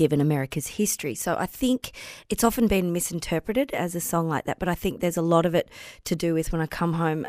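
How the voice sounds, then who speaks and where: A woman's fairly low-pitched voice at a fairly quick pace, with ordinary pitch variation and a dry, close sound with no echo. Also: very clean recording, silent background. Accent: Australian. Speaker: podcast co-host. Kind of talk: casual chat.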